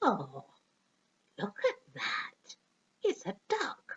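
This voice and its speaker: A woman puts on a character voice that reaches an extremely high pitch. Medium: read story.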